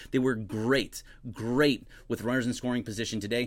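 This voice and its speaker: In a very clean recording with a silent background, a man speaks at medium pitch. His tone is animated. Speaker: baseball commentator / streamer. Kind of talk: live stream reaction and chat. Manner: fast.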